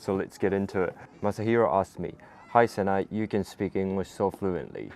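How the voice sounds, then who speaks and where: A man with a very deep, low voice talks at a fairly quick pace with ordinary pitch variation. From Japan. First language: Japanese. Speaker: YouTuber. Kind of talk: casual Q&A vlog.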